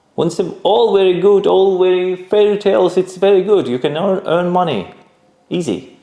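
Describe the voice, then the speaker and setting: A man with a non-native accent speaks at a high pitch. His pace is moderate and his pitch varies in an ordinary way. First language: not English. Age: 30s. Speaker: entrepreneur. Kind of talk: interview. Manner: halting.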